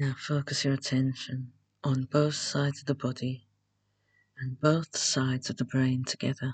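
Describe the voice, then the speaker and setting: A woman speaks in a very deep, low, somewhat breathy voice, calm in tone and flat in intonation. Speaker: meditation guide. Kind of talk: guided meditation. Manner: slow, hushed, calm and measured.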